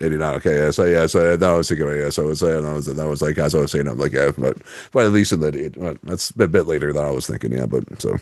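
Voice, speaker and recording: Speaking at a very fast pace, a man with a Canadian accent has a very deep, low pitch and vocal fry. His pitch variation is ordinary. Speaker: podcast host. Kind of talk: casual chat. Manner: halting.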